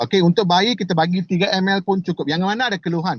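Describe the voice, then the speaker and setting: A man speaks at a very fast pace. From Malaysia. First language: not Indonesian (speaking Indonesian). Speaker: company director presenting products. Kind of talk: product presentation. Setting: video call. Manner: halting, many fillers.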